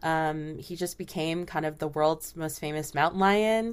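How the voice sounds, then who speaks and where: In a very clean recording with a silent background, a woman speaks with an American accent and an unremarkable speaking voice. Her pace is moderate and her pitch variation ordinary. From Southern California. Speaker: podcast host. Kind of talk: interview.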